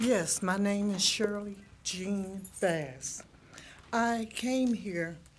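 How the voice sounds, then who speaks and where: A somewhat breathy woman's voice of medium pitch, with ordinary pitch variation. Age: 70s. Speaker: resident speaking at township board meeting. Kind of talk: public comment at meeting.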